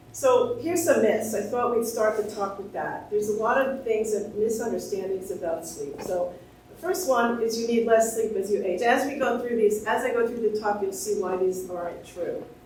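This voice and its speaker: A woman talks with hardly any pauses in a fairly high voice. The recording has audible room echo and noticeable background noise. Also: ordinary pitch variation. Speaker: sleep researcher and professor. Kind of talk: lecture. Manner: fast.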